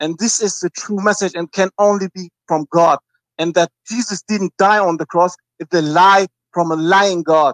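A man with a high voice speaks at a moderate pace with fairly even intonation, the sound dry with no echo and the background quiet. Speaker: caller. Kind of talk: phone-in call. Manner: halting. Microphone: video call.

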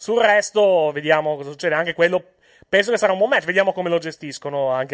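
A man speaks at a very fast pace with a high pitch and lively intonation. The background is quiet. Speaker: wrestling podcast host. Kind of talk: heated argument over wrestling booking. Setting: online recording, remote connection. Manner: talking over others, quick overlapping interjections.

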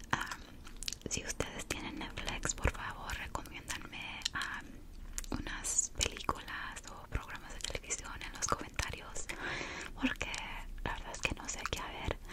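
A woman whispers at a very slow pace. Her loudness swings widely. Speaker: ASMR creator. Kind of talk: casual ASMR ramble. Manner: whispered. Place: home room. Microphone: studio mic.

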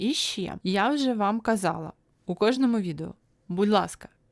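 A woman at a fairly slow pace, a plain, everyday voice with ordinary pitch variation. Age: 30s. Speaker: YouTube vlogger. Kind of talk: solo video podcast monologue. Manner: casual, chatty.

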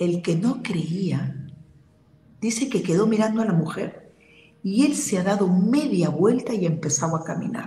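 Amid light background noise and audible room echo, a woman talks fairly slowly at medium pitch with lively intonation. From Peru. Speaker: spiritual healer and medium; guest. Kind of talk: interview. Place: home room. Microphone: video call.

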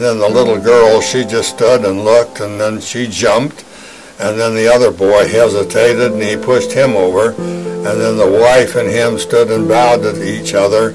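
A man talks at a moderate pace. Clear music can be heard behind him. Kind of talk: interview answer. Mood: grave, recounting traumatic memory. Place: studio.

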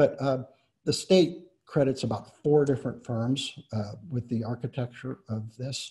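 Over a quiet background, a man speaks at a fairly slow pace with ordinary pitch variation. His tone is dark and mellow and somewhat breathy. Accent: American. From Indiana. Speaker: architect and preservation director; architect giving a lecture. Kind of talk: lecture. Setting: video call. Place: home room. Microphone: webcam.

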